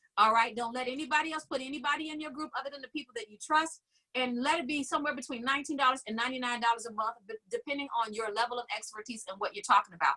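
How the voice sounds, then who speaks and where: A woman's high-pitched, bright, sharp voice, raised and projected, at a very fast pace with ordinary pitch variation. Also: big swings in loudness. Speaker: business coach. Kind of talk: online class webinar.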